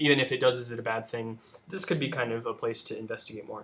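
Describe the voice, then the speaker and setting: Against noticeable background noise, a man rattles along at a very fast pace in a medium pitch. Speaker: debate coach. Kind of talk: spoken critique of student debate. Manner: halting, many fillers.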